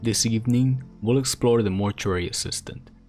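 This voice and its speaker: A man talks at moderate speed, his pitch varying in an ordinary way, as music plays underneath. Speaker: storyteller, narrator. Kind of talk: horror story narration, ASMR-style.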